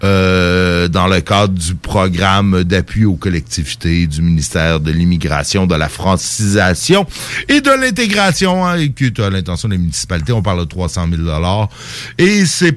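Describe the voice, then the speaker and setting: A man in a Quebec accent, very deep and low in pitch, with lively intonation at a fairly slow pace. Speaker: community radio host. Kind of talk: casual chat. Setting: studio.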